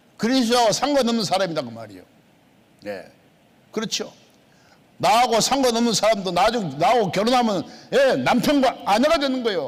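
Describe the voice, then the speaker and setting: A man's high-pitched voice with lively intonation, long and frequent pauses, and audible room echo. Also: fairly quick pace. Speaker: pastor. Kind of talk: sermon. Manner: emphatic, repetitive.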